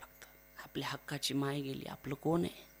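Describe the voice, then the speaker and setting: Bright, sharp tone in a man's fairly high voice. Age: 20s. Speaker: kirtan preacher. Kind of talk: devotional sermon (kirtan). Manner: emotional, declamatory.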